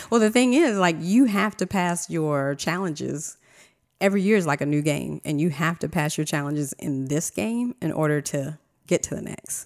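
A woman with an American accent speaks at a moderate pace in a very deep, low pitch and lively intonation, the recording very clean over a silent background. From Virginia, small country town. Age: 40s. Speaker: astrology reader. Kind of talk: casual chat.

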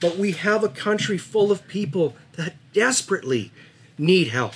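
This man has a western Canadian accent. His pitch is high. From Dawson Creek, northern British Columbia, Canada. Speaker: local hunter. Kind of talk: casual chat.

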